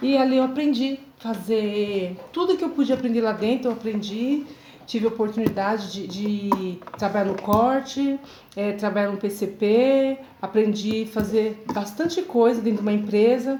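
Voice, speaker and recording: Over noticeable background noise, a woman talks at a moderate pace, her fairly high pitch showing ordinary pitch variation. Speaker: seamstress turned workshop owner, vlogger. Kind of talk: personal testimony monologue.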